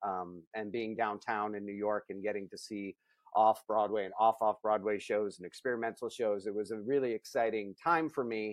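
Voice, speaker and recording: A man with an American accent uses an ordinary speaking voice, fairly low in pitch, at a moderate pace with big swings in loudness. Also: fairly even intonation. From US Midwest, Akron, Ohio. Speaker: film writer and director. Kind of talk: interview.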